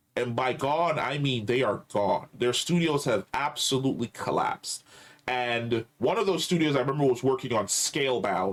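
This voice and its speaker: A man's animated, lively voice at medium pitch and moderate pace, his loudness very even, with noticeable background noise. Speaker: podcast host. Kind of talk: casual chat.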